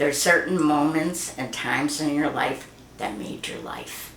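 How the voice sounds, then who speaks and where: With an American accent, a woman talks at a fairly slow pace in a very deep, low voice, her intonation fairly even, with noticeable background noise and audible room echo. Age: 80s+. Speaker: grandmother interviewed about her life. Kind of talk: family oral history interview.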